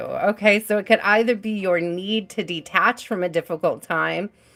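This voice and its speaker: Talking at a fairly slow pace, a woman with a fairly high pitch is heard over noticeable background noise. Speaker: tarot reader. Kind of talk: live-stream tarot reading. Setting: live stream. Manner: casual, chatty; heavy breathing.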